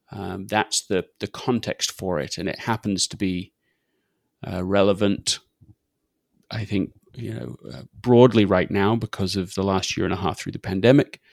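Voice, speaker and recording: A man with vocal fry, ordinary pitch variation, big swings in loudness and a moderate pace, on a very clean recording with a silent background and a dry, close sound with no echo. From England. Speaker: author and podcaster. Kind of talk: interview conversation.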